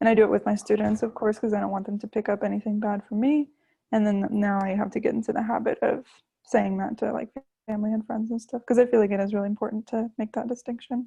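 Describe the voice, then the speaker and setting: Spoken at a very fast pace in an American accent, with a monotone, flat delivery. The tone is dark and mellow, somewhat breathy, with a dry, close sound, no echo and a quiet background. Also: woman, fairly high pitch for a woman. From US South, Florida. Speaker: language learner, YouTuber and student. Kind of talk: casual interview.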